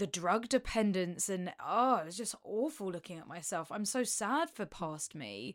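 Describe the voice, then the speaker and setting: In an unremarkable speaking voice, a woman speaks at a moderate pace and medium pitch with hardly any pauses. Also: lively intonation, very clean recording, silent background. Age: 30s. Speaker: podcast co-host. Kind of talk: casual chat.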